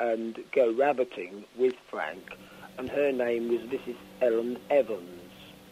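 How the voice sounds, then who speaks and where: A man speaks with a southern English accent. His pitch sits in the medium range. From Isle of Wight, England. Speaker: author. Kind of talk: radio interview answer.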